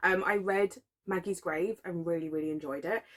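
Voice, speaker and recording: A woman speaks with a British accent. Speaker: book vlogger. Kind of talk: casual vlog talk. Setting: at home at night. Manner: quiet, keeping voice down.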